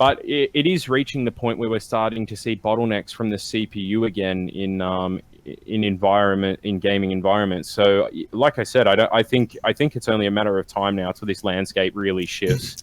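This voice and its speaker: A man with an Australian accent at a fairly quick pace, with ordinary pitch variation. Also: fairly low pitch for a man. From Melbourne, Australia. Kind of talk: casual podcast banter.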